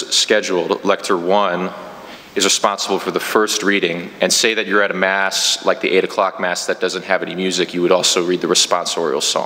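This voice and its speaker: It is a normal speaking voice from a man, fairly low in pitch. He talks at a fairly quick pace. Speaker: parish trainer. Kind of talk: training instruction. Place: church.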